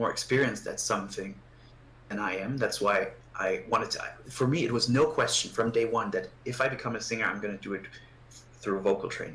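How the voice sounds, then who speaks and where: A man talks at a fairly quick pace. He has a non-native accent. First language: not English. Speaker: guitarist and voice student. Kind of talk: casual interview chat. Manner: halting, many repetitions.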